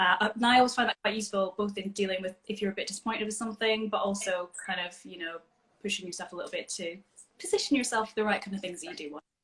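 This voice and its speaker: Someone with a Scottish accent talks at a very fast pace with ordinary pitch variation. The loudness swings widely. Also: woman, medium pitch for a woman. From Scotland. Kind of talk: casual chat. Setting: video call.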